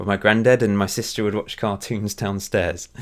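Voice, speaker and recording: Talking at a very fast pace, a man with a fairly low pitch comes through on a very clean recording with a silent background. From Essex, England. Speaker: video game YouTuber. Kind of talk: casual Q&A commentary. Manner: well spoken.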